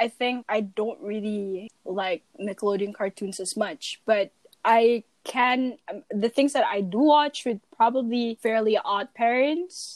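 A woman speaks very slowly with a Malaysian accent. Her pitch sits fairly high, with ordinary variation. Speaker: podcast co-host. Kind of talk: casual chat.

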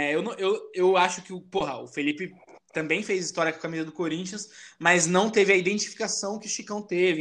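A man's high voice at a fairly quick pace against a quiet background. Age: 20s. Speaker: podcast host. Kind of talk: casual chat.

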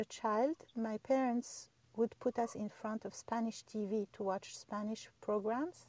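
A woman speaks at a fairly slow pace in a fairly high pitch with a dark, mellow tone and ordinary pitch variation, the sound dry and close with no echo. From Algeria. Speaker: Clubhouse room host and language teacher.

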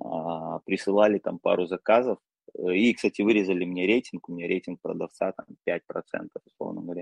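A man with a very deep, low voice speaks at a fairly quick pace, broken by long, frequent pauses. His intonation is fairly even, his loudness swings a lot, and the sound is dry and close with no echo. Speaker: e-commerce seller. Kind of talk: casual interview.

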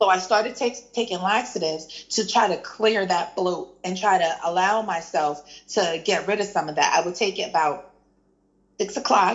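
Her pitch varies in an ordinary way as a woman talks in a plain, everyday voice. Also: medium pitch for a woman, moderate pace. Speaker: guest sharing weight loss story. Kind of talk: casual chat.

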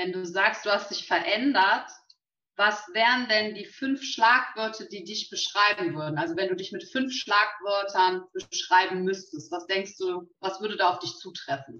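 A woman speaks at a fairly slow pace in a plain, everyday voice, her pitch medium with ordinary variation. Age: young. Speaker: local politician, co-moderator. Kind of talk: live talk interview. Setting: live video stream.

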